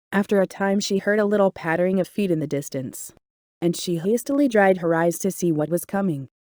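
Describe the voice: With a quiet background, the speaker does plain reading aloud.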